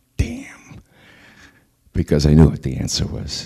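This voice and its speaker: Fairly slow delivery with fairly even intonation. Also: man. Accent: New York. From US Northeast, the Bronx, New York. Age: 60s. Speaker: former intelligence analyst and activist. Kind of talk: public talk.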